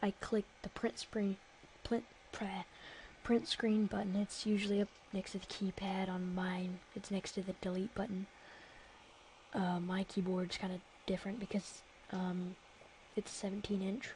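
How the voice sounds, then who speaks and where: A woman whispers at a moderate pace, somewhat breathy. Long pauses come often. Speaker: software tutorial youtuber. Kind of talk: tutorial. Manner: hesitant, many fillers; whispering.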